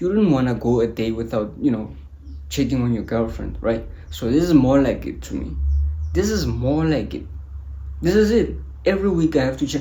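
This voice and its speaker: With a non-native accent, a man talks at a fairly quick pace but leaves long, frequent pauses, and the room echo is audible. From South Africa. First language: not English. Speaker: motivational YouTuber. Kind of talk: motivational talk to camera. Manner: animated.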